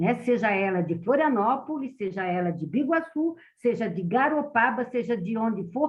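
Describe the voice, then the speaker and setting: This woman has an ordinary speaking voice with a fairly high pitch. She talks at a moderate pace with lively intonation. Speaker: public transport specialist. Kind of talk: meeting presentation.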